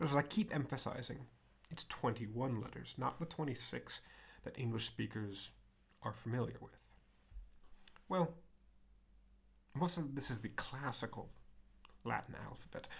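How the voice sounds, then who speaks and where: A man's medium-pitched voice with vocal fry and an American accent, ordinary pitch variation and long, frequent pauses. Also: moderate pace. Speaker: Latin teacher. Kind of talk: lecture. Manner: many fillers and self-corrections.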